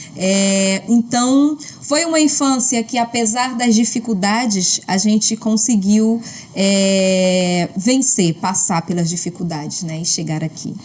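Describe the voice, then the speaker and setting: A woman talks at a very slow pace with lively intonation. Noticeable background noise runs underneath. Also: medium pitch for a woman. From Pernambuco, Brazil, raised in Rio de Janeiro. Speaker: journalist. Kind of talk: interview, life story.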